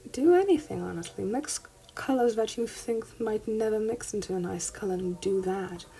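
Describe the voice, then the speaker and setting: Noticeable background noise behind a woman's lively intonation, fairly high pitch and moderate pace. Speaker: art hobbyist youtuber. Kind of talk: tutorial. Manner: halting.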